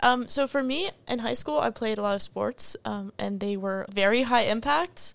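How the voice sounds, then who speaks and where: Speaking at a moderate pace with hardly any pauses, a woman with an American accent and an unremarkable speaking voice has fairly high pitch and lively intonation. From Northern Virginia, US. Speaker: college student, student bike club leader. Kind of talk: casual chat.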